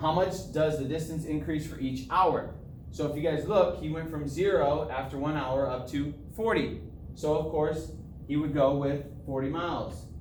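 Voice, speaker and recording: There is noticeable background noise and audible room echo. A man talks at a fairly slow pace with a fairly high pitch. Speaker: math teacher. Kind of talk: tutorial.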